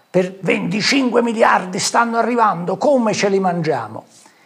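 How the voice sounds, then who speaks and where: Noticeable background noise runs through the clip. The speech comes at a very slow pace. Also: man. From southern Italy, Ariano Irpino (Campania). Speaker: businessman and local politician. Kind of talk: political talk show interview.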